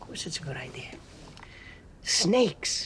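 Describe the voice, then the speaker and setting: Using a raspy, put-on character voice, the speaker keeps a moderate pace over light background noise. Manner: hissing, sibilant.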